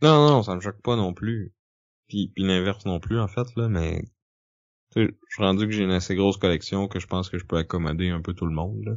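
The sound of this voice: A man's low-pitched voice at a fairly quick pace. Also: ordinary pitch variation.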